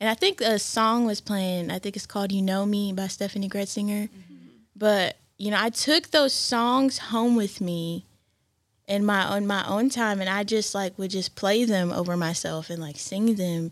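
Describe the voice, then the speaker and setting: A plain, everyday voice from a woman, medium pitched, at a moderate pace with ordinary pitch variation. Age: 20s. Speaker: church worship singer. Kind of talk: casual chat.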